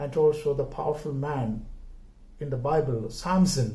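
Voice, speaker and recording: A man with a Keralan accent at a moderate pace, fairly high in pitch with ordinary pitch variation, a dark, mellow, somewhat breathy tone and audible room echo. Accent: Indian (Malayali) English. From India, Kerala. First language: Malayalam. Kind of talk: homily. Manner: halting, many filler words.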